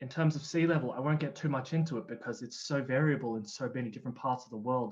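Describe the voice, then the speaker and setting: A man with an Australian accent at a very fast pace, medium in pitch with ordinary pitch variation. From Australia (Canberra). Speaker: climate change specialist. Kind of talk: presentation. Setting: online livestream event.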